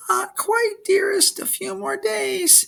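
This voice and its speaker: This put-on character voice goes extremely high in pitch and keeps a fairly slow pace. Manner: sweet, pleading.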